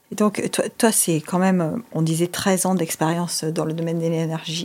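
Over noticeable background noise, a woman speaks fairly slowly at a fairly low pitch. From Monaco. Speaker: podcast host. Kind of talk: interview.

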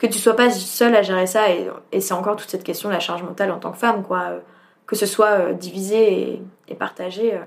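Her intonation monotone and flat, a woman speaks at a medium pitch and a moderate pace with vocal fry. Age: 20s. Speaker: social sciences student. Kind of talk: interview. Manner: casual, hesitant with fillers.

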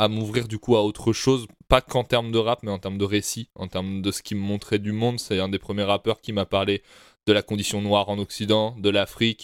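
A man's fairly low, monotone and flat voice, with a dry, close sound with no echo in a very clean recording with a silent background. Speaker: podcast co-host. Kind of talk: casual chat.

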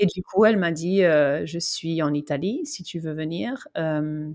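A woman with an English accent speaks at a very slow pace and a fairly low pitch, on a very clean recording with a silent background. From Vanuatu and Australia. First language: English (speaking French). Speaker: cyclist. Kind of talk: interview. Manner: halting, many fillers and repetitions.

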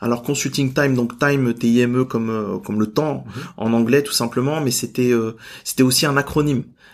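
This man has an unremarkable speaking voice, medium in pitch with ordinary pitch variation. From Normandy, France. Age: 30s. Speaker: entrepreneur and business coach. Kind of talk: interview.

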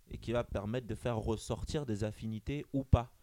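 A man's dark, mellow voice sits at a medium pitch, its pitch varying in an ordinary way. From Gabon and Benin heritage. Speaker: dating app co-founder. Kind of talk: interview. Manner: halting, repeats words.

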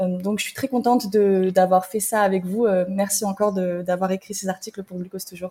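Her tone is dark and mellow, somewhat breathy, with monotone, flat intonation. The woman keeps a moderate pace. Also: medium pitch for a woman. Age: 20s. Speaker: health media editor. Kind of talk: casual conversation.

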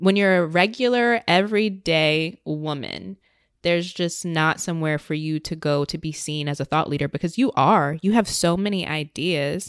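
A woman with a plain, everyday voice speaks at a moderate pace in a fairly low pitch with ordinary pitch variation. The recording is very clean, with a silent background. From Virginia, US. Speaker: independent podcaster. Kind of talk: interview conversation. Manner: casual, filler-heavy.

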